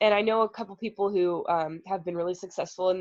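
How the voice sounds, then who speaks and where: A woman talks at a fairly quick pace. Her voice sits at medium pitch with ordinary pitch variation. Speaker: student peer advisor. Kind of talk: online group advising session. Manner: fast.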